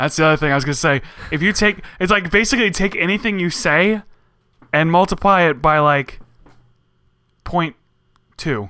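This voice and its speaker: A man's high voice has a bright, sharp tone and lively intonation, broken by long, frequent pauses. The recording is very clean with a silent background. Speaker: podcast host. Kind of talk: casual chat. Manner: fast with short pauses.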